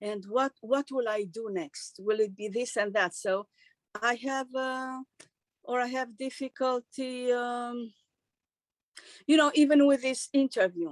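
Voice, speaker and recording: A woman with a Romanian accent, high in pitch with ordinary variation, fairly slow with long, frequent pauses, in a dry, close sound with no echo. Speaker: actress and singer. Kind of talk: interview. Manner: halting.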